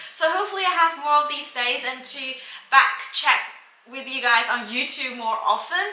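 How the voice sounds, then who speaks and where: Over noticeable background noise and audible room echo, a woman uses a raised, projected voice with a high pitch, ordinary pitch variation and big swings in loudness. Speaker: beauty vlogger. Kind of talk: casual chat. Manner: fast.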